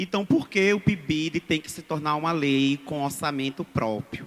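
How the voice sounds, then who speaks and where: A very slow, fairly high-pitched male voice with ordinary pitch variation. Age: 30s. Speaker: schoolteacher speaking from the audience. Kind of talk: public audience statement. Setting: public hearing, audience microphone.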